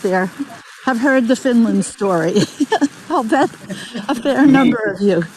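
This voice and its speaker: A woman's high voice swings very widely in pitch, with clearly audible noise behind her. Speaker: webinar host. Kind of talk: webinar presentation.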